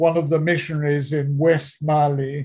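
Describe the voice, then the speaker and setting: A man speaks at a fairly slow pace in a fairly high voice, somewhat breathy, with a dark, mellow tone. His intonation is monotone and flat. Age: 80s+. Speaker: veteran author, speaker and missionary. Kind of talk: interview answer, telling stories.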